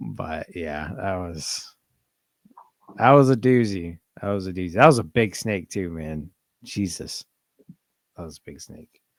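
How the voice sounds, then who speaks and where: Speaking with an American accent, a man with a very deep, low voice uses lively intonation, big swings in loudness, and long, frequent pauses. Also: fairly slow pace. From South Carolina, US South. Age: 20s. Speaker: reptile hobbyist. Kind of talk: casual chat.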